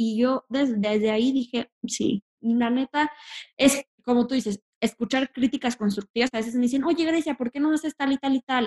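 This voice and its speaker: The sound is dry and close with no echo. A woman speaks at a high pitch with ordinary pitch variation. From Mexico City. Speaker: influencer. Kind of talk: casual interview chat.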